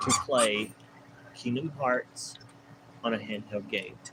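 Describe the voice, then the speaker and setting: A man talks over noticeable background noise. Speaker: gaming streamer. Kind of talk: live stream commentary. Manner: halting.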